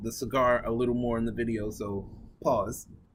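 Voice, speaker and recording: Audible room echo surrounds a man as he speaks. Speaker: cigar review vlogger. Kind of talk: casual vlog talk to camera.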